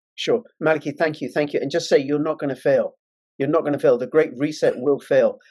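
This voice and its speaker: A man in a London accent at a fairly quick pace. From England, London. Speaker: online political talk show host. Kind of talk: interview. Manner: emphatic.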